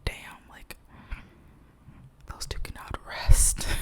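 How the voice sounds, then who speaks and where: Through noticeable background noise, a woman is whispering. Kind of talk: casual talk to camera. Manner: whispered, rambling, gossipy.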